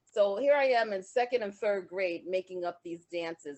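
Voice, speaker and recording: This woman talks at a moderate pace with ordinary pitch variation. She has a plain, everyday voice. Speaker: dancer and dance teacher. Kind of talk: interview.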